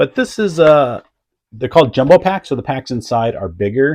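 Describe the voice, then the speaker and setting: A man with a somewhat breathy voice talks at a moderate pace with very wide pitch swings. The sound is dry and close, with no echo. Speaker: eBay reseller. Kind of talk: casual vlog talk. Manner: conversational, filler-heavy.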